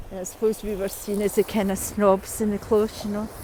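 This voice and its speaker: A woman's fairly high, monotone voice with flat intonation, over noticeable background noise. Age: 60s. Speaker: vlogger. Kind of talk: monologue vlog. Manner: halting.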